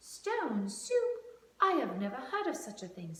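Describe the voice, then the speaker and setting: A female-sounding voice doing a put-on character, pitched high for a woman, at a moderate pace with a slight echo. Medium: read story.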